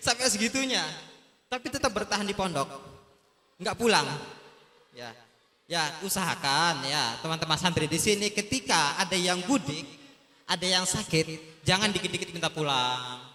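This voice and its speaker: A man's high-pitched, animated voice with lively intonation at a moderate pace, broken by long, frequent pauses over noticeable background noise. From Sumbawa, West Nusa Tenggara, Indonesia. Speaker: talk show guest, former pesantren student. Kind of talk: talk show addressing students.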